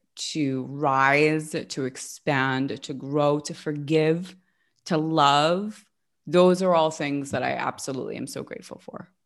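This woman talks at a fairly slow pace with a very deep, low pitch. The recording is very clean, with a silent background. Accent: American. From Los Angeles, US West Coast. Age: 30s. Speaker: life coach. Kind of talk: casual interview.

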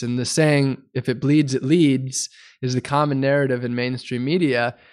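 A man talks at a moderate pace and medium pitch, his intonation monotone and flat, on a very clean recording with a silent background. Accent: American. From US Midwest, Wisconsin. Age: 30s. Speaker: environmental activist. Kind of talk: interview.

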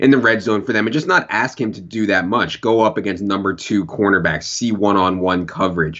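With an American accent and an ordinary speaking voice, a man talks at a fairly low pitch and a fairly quick pace, using ordinary pitch variation and hardly any pauses. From Virginia. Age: 30s. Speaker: fantasy football analyst. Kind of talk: casual chat.

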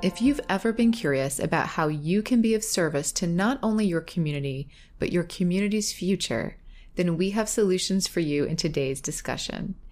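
Speaking in a normal speaking voice, a woman moves at a fairly quick pace with medium pitch and lively intonation. Her loudness stays very even, and the recording is very clean with a silent background. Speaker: podcast producer and co-host. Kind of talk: scripted narration.

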